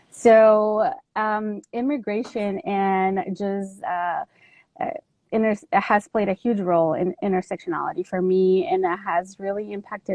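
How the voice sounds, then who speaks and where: Speaking with a Spanish accent at a fairly slow pace, a woman uses a medium pitch and fairly even intonation. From Mexico. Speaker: army veteran and advocate. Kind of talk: talk on trauma and intersectionality.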